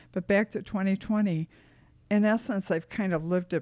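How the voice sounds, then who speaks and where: A woman's dark, mellow voice with an American accent, fairly even intonation, and a very clean recording over a silent background. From US Midwest, Detroit. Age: 70s. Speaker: podcast guest, host's mother. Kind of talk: casual interview chat, life stories.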